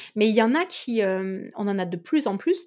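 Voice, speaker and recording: Pitched fairly high, a woman's voice moves through very wide pitch swings. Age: 20s. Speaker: company director. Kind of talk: interview.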